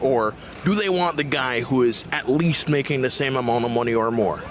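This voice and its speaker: The loudness stays very even and the pace is fairly quick, with noticeable background noise throughout. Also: man, medium pitch for a man, ordinary pitch variation. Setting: interview. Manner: theatrical.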